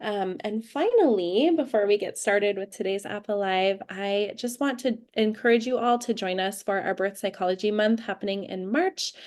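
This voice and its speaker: Against a quiet background, a woman in an ordinary speaking voice talks at medium pitch and moderate pace with ordinary pitch variation and hardly any pauses. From California, US. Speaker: webinar host. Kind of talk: live webinar introduction.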